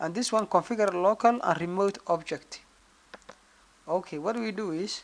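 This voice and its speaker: Delivered at a moderate pace, the speech carries a non-native accent. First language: not English. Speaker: network engineering tutor. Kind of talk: screen-recorded tutorial. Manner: halting.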